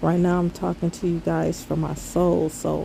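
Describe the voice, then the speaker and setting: A woman talks at a fairly slow pace amid noticeable background noise. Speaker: spiritual vlogger. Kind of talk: casual monologue. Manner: low-toned.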